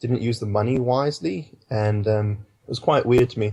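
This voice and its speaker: Monotone, flat intonation from a man with a British accent, dark and mellow in tone and somewhat breathy. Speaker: filmmaker. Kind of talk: interview answer. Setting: Skype call.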